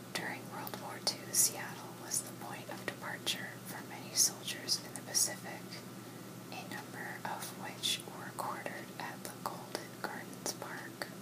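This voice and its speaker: A woman whispers at a fairly slow pace in a soothing, calm tone, her loudness swinging widely over noticeable background noise. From Washington State, USA. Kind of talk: ASMR whisper fun-facts reading. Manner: whispered, soothing, calm.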